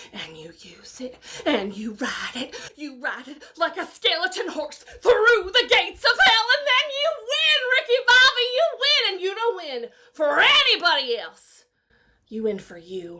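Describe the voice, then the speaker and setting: Her pitch is extremely high, swinging very widely as this woman talks at a moderate pace in an intense tone. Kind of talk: dramatic acting monologue. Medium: voice reel. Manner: intense, rousing, building to fervor.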